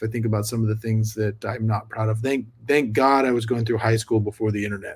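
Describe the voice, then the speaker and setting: A man uses an ordinary speaking voice at a medium pitch. He talks fairly quickly, his pitch varying in an ordinary way. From Sacramento, California. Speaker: podcast host. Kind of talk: casual interview chat.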